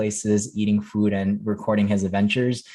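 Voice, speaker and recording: Fairly low-pitched, a man with a General American accent talks at a fairly quick pace. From Las Vegas, US. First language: Chinese. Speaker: former teacher, incoming management consultant. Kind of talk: podcast interview. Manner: many fillers (um, uh).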